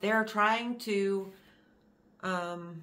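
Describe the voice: Very slow in pace, a woman with an American accent talks at a medium pitch in a fairly bright tone. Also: ordinary pitch variation.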